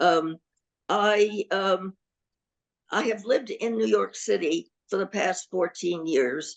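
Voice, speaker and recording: Very slow, medium-pitched speech from a woman, with vocal fry, ordinary pitch variation, long and frequent pauses, and a dry, close sound with no echo. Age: 80s+. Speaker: panelist, older adult living alone. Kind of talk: panel discussion.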